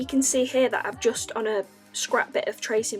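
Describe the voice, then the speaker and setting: Music plays behind a woman with a Northern English accent. She talks at a fairly quick pace. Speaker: artist. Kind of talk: casual art review talk to camera.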